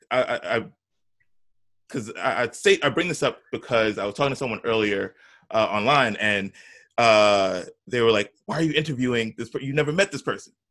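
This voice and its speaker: Lively intonation and an animated tone mark this moderate-paced speech, which has long, frequent pauses in a very clean recording with a silent background. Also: man, medium pitch for a man. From New York. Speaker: podcast host. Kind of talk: casual chat.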